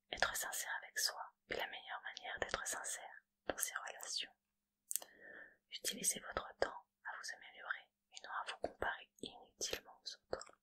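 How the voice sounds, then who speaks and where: A woman whispering. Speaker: ASMR creator. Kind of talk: positive affirmations reading. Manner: soft-spoken, slow.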